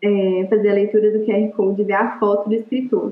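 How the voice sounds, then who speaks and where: A woman at a medium pitch and moderate pace. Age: 20s. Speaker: literature teacher. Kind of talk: interview.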